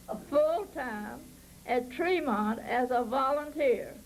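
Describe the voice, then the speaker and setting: A woman speaks with a high pitch. Audible room echo surrounds her voice. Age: 90s. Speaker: park volunteer. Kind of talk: oral history storytelling.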